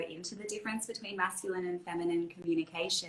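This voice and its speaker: A woman's fairly low voice at a fairly quick pace against noticeable background noise. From country Australia (Albury-Wodonga). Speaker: self-love and feminine embodiment coach. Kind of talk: casual interview chat. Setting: livestream video call.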